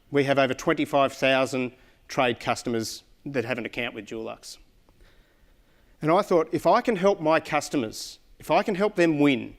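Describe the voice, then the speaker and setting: With an Australian accent, a man talks at a fairly quick pace with lively intonation. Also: very clean recording, silent background. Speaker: corporate account manager. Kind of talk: conference presentation. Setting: stage with audience. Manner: loud; animated.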